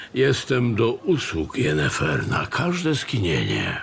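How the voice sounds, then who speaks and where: Over clear background noise, a man puts on a raspy character voice at a medium pitch, moving at a fairly slow pace. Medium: audio drama. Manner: courtly, smooth.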